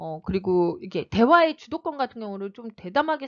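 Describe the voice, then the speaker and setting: Speaking at a fairly quick pace, a woman uses an animated tone and a fairly high pitch with very wide pitch swings. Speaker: reading coach. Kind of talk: online lecture. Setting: online video. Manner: fast; animated, varied emphasis.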